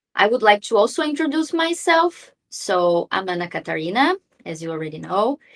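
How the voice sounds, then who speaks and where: In a Brazilian accent, a woman talks at a moderate pace with a fairly high pitch, very wide pitch swings and big swings in loudness, in a dry, close sound with no echo. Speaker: lawyer and AI ethicist, philosopher speaker. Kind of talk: online talk / webinar presentation. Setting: video call webinar.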